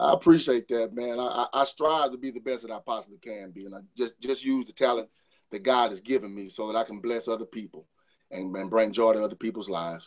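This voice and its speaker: Speaking at a very fast pace, a man with a Louisiana accent uses a medium pitch and ordinary pitch variation, with big swings in loudness. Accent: US Southern, Louisiana. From northern Louisiana (Saline). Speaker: R&B singer. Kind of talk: interview. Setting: remote call into radio show.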